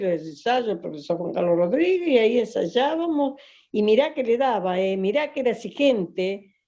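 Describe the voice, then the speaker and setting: Her tone is dark and mellow, with lively intonation. The woman keeps a moderate pace. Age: 70s. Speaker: folk dancer and dance teacher. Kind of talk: interview. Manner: halting, many fillers.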